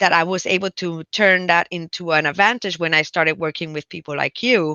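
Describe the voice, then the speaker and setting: A woman with a Spanish accent at a fairly quick pace, fairly low in pitch with ordinary pitch variation. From Puerto Rico, countryside. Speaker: physician and public health professor. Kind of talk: interview conversation. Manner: halting, many fillers and restarts.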